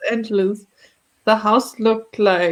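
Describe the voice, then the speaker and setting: A woman at a fairly slow pace with a South African accent. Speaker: podcast host. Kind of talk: casual chat.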